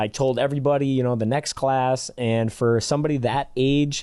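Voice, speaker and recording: A man with a Michigan accent talks at a fairly quick pace, his medium-pitched voice dark and mellow with fairly even intonation. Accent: Michigan accent, nasal A's. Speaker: basketball skills trainer and podcast co-host. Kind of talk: casual podcast chat.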